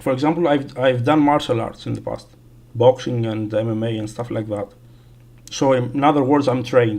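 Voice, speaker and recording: The speech moves at a fairly quick pace with fairly even intonation. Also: man, medium pitch for a man. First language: not English. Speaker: gaming streamer. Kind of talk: casual livestream chat. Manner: halting, many fillers.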